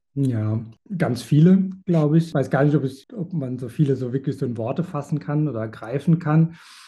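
A man's somewhat breathy voice, dark and mellow in tone and fairly high in pitch, with ordinary pitch variation at a moderate pace over a quiet background. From Germany, rural village. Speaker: animal sanctuary founder. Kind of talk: interview. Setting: video call.

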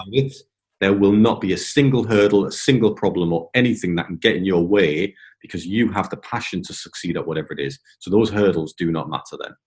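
A man with an English accent, fairly low in pitch, with ordinary pitch variation. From England. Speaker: property investor, ex-military pilot. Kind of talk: interview.

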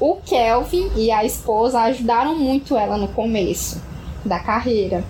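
The speech moves at a fairly slow pace with ordinary pitch variation, over noticeable background noise and audible room echo. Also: woman. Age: 20s. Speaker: podcast co-host. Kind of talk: casual chat.

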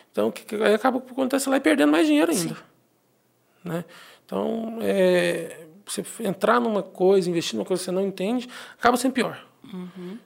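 A man talks at a moderate pace in a high voice with lively intonation. He leaves long, frequent pauses. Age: 30s. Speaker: accountant. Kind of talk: casual interview. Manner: halting, many repetitions.

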